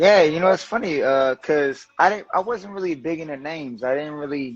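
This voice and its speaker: A man with a New Orleans accent talks at a fairly quick pace in a fairly high pitch with ordinary pitch variation. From New Orleans, Seventh Ward. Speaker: political activist and lawyer. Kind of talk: casual interview. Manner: casual, hesitant with fillers.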